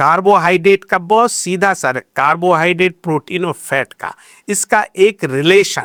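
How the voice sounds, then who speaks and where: A man with a high pitch and ordinary pitch variation speaks with hardly any pauses and big swings in loudness. The recording is very clean with a silent background and a dry, close sound with no echo. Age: 70s. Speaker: orthopedic surgeon. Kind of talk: podcast interview.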